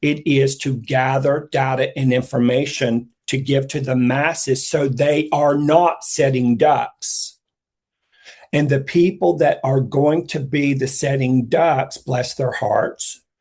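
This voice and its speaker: Somewhat breathy, a man with a fairly high voice speaks at a very slow pace in a fairly even intonation. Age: 60s. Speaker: psychic intuitive speaker. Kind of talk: casual chat.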